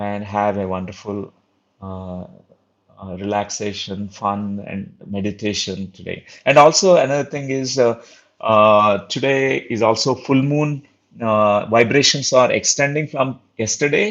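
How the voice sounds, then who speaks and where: A man with a Telugu accent speaks at a medium pitch and a fairly slow pace, with ordinary pitch variation and big swings in loudness. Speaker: spiritual teacher. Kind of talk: online spiritual talk. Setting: live online session. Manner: halting, many fillers.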